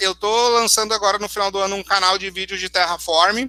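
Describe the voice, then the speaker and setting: A man's raised, projected voice, high-pitched with a bright, sharp tone, at a fairly quick pace in a dry, close sound with no echo. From southern Brazil, Porto Alegre region. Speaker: cloud solutions architect giving a tech talk. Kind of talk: conference talk with live demo. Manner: fast.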